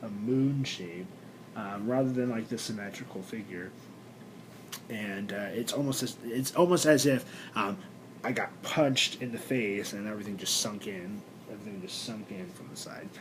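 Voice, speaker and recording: In a room with audible echo, a man with a medium-pitched voice talks at a moderate pace, with big swings in loudness. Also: ordinary pitch variation. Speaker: vlogger and actor. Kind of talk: personal video blog. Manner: halting, many fillers.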